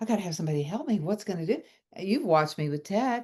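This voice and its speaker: A woman speaks. The background is quiet. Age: 70s. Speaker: spiritual teacher and author. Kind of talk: casual chat. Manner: halting.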